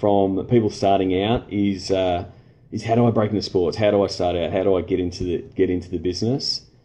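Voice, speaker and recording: With an Australian accent, a man talks at a fairly quick pace in a fairly low voice, his intonation fairly even. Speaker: sports marketing consultant. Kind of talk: live stream Q&A. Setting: Facebook live stream. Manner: halting, many fillers.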